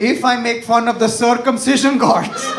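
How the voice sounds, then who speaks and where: Noticeable noise is present in the background. The speaker is a man. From India. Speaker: stand-up comedian. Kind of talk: stand-up comedy set.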